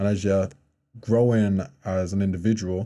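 A man speaks at a fairly low pitch with a dark, mellow tone and monotone, flat intonation. The background is quiet. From Birmingham, England. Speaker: professional basketball player and model; podcast guest. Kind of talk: casual interview chat. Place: studio. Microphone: studio mic.

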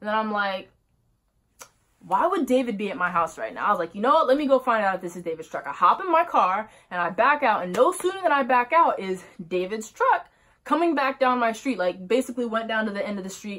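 Against a quiet background, the voice moves in very wide pitch swings. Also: woman. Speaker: vlogger. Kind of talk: casual storytime vlog. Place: home room. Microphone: phone near.

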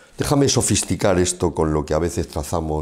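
Over a quiet background, a man with a very deep, low pitch speaks at a fairly quick pace with lively intonation. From Spain, Castilla-La Mancha (Ciudad Real); Castilla-La Mancha, Spain. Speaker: interviewer, business show host. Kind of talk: interview. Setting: bar set. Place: studio. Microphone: lapel.

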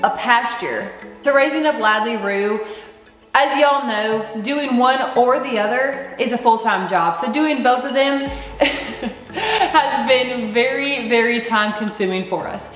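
In a room with audible echo and light background noise, a woman with a high-pitched voice talks at a fairly slow pace with ordinary pitch variation. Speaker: homestead vlogger. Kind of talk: casual vlog chat. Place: home room. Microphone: camera far.

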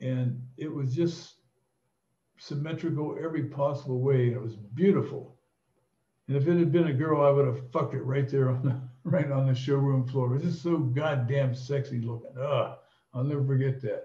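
A man speaks at a moderate pace in a dark, mellow, somewhat breathy tone with fairly even intonation, and the room echo is audible. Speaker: storyteller. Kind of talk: casual anecdote telling. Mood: amused, bawdy humor. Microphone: webcam.

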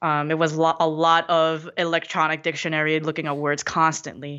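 Monotone and flat, a woman with a Korean accent speaks at a fairly slow pace with a very deep, low pitch. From South Korea, then New York (Queens) from age 10. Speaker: motivational speaker. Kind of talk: casual chat.

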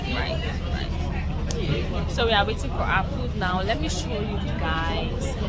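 A woman talks while crowd noise carries on in the background. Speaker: travel vlogger. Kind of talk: casual vlog chat. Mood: excited, cheerful. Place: boat. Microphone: phone near.

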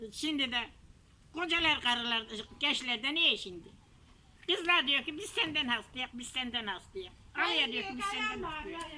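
A woman with a Kahramanmaraş accent speaks in a raised, projected voice that is high, bright and sharp. She talks fairly slowly with long, frequent pauses, very wide pitch swings and big swings in loudness. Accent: Kahramanmaraş village dialect. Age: 80s+. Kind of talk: casual conversation.

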